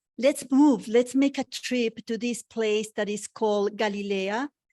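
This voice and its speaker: Against a quiet background, a voice with a non-native accent speaks with fairly even intonation in a dry, close sound with no echo. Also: woman. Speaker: women's spiritual teacher. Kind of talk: webinar talk. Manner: slow.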